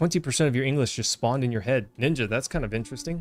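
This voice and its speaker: Fairly quick speech with an American accent, on a very clean recording against a silent background. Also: man. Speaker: gaming streamer. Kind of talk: live gameplay commentary. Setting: home, wife in other room. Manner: casual, chatty.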